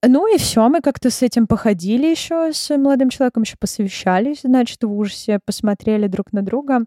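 A high-pitched woman's voice with a dark, mellow tone, lively intonation and a fairly quick pace, with hardly any pauses. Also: dry, close sound with no echo. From Russia, Moscow. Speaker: clinical psychologist. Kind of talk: interview.

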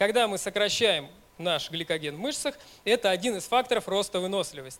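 Moderately paced speech from a man, high in pitch, with lively intonation. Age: 30s. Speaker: ultramarathon runner and running coach. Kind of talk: conference talk. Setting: stage with audience.

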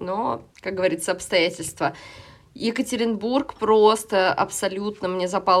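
This woman keeps a medium pitch and ordinary pitch variation at a moderate pace. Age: 30s. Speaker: podcast host. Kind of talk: casual chat. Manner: animated.

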